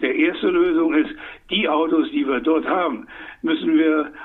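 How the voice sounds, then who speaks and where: With very wide pitch swings, a man talks in a high voice. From Saarland, Germany. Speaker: economist. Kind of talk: interview. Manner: animated.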